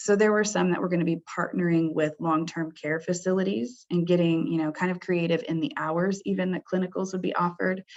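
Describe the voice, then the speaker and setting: A woman with an unremarkable speaking voice talks at a fairly quick pace with hardly any pauses, her pitch fairly low and its variation ordinary. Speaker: senior director for healthcare programs. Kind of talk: webinar presentation. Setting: webinar.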